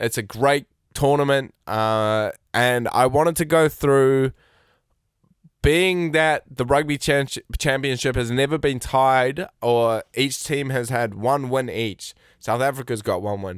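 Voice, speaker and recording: Pitch varies in an ordinary way at a very slow pace, in a very clean recording with a silent background and a dry, close sound with no echo. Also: man. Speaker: sports podcast host and TV replay operator. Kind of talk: casual sports podcast monologue. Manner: hesitant, many fillers.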